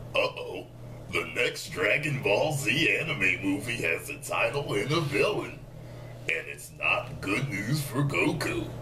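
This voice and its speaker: Over clear background noise, a man performs a put-on character voice. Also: fairly slow pace. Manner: dramatic, ominous announcement.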